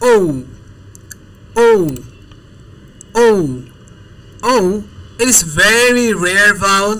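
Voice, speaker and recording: The speaker talks at a very slow pace with long, frequent pauses. Background noise is noticeable. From Bangladesh. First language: Bengali. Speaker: language tutor. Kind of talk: language lesson.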